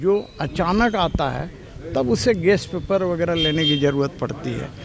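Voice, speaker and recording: Over noticeable background noise, a man speaks in a high pitch with lively intonation. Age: 60s. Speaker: politician. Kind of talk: press interview.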